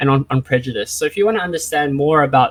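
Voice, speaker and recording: A man speaks with an Australian accent and a fairly high pitch. His intonation is lively, and the sound is dry and close with no echo. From Australia, Vietnamese family. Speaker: esports psychology speaker. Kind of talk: lecture. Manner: fast.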